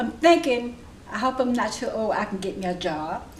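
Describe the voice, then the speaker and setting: A woman with a high pitch and lively intonation speaks at a moderate pace, with noticeable background noise and audible room echo. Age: 70s. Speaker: adult education student. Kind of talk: interview. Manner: halting.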